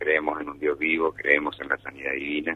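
At a moderate pace, a man speaks. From Argentina, Buenos Aires. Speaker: church spokesman. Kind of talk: radio interview.

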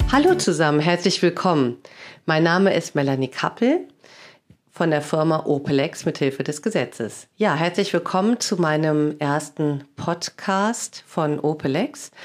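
In a very clean recording with a silent background, a woman with a very deep, low pitch and ordinary pitch variation speaks at a fairly slow pace and very even loudness. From Germany, Cologne. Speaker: lawyer and sales trainer, podcast host. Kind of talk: casual interview chat.

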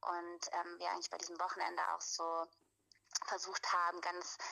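A woman speaks at a moderate pace. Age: 30s. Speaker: anthropologist, women's circle leader. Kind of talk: casual interview chat. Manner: hesitant, many fillers.

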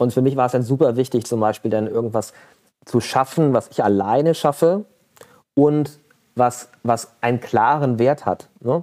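Speaking at a moderate pace, the man has a dark, mellow tone and a medium pitch. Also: ordinary pitch variation, very even loudness. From Germany, Mönchengladbach (Lower Rhine). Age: 40s. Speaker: entrepreneur. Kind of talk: interview. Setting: video call. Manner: halting, many fillers.

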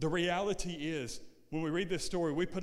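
With an animated tone, a man talks at a high pitch. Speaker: preacher. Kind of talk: sermon. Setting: church with congregation. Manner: animated, call-and-response, building to a shouted climax; repetitive, rhythmic, rising in intensity.

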